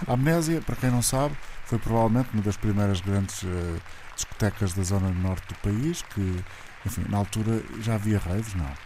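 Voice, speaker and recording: Noticeable background noise sits behind a man's voice. His pitch is fairly low, with ordinary variation. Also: moderate pace. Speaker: radio host. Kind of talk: radio interview.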